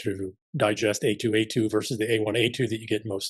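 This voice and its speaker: A man's fairly low-pitched, somewhat breathy voice in a monotone, flat intonation at a very fast pace over a quiet background. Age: 50s. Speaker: former special forces soldier, podcast guest. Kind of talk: interview.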